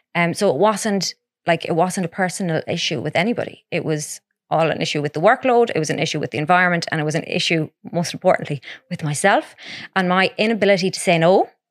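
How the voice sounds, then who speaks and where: Talking very fast, a woman uses a west of Ireland accent and a fairly low pitch with ordinary pitch variation. The sound is dry and close, with no echo. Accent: west of Ireland Irish. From Ireland, Ballina, County Mayo. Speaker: podcast co-host. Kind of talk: casual chat.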